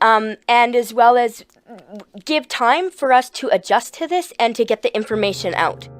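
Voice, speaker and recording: Music plays in the background as a woman speaks at a moderate pace in a high pitch. Her intonation is lively, and the sound is dry and close with no echo. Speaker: drug user activist. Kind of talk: interview. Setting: eating lunch during interview. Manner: hesitant, many ums.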